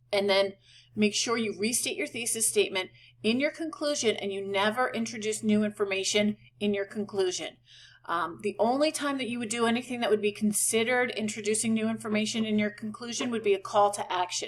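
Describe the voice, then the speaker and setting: With an American accent, a woman talks at a fairly quick pace and fairly high pitch, with ordinary pitch variation. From New York. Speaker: college writing instructor. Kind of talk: lecture. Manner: casual.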